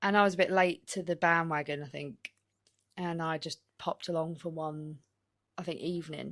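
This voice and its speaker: A woman with a northern English accent speaks at a very deep, low pitch and fairly even intonation, on a very clean recording with a silent background. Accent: northern English twang. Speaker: darts player and podcast co-host. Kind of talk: casual chat.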